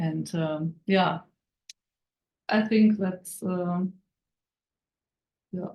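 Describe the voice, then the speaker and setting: A woman with a non-native accent, very slow and with long, frequent pauses, a medium pitch, fairly even intonation, and a dark, mellow, somewhat breathy tone. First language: German. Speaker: network marketing team member. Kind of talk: testimony. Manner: halting.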